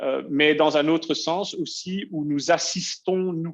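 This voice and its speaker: A man speaking at a very slow pace. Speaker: software company presenter. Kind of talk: webinar presentation. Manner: halting, many filler hesitations.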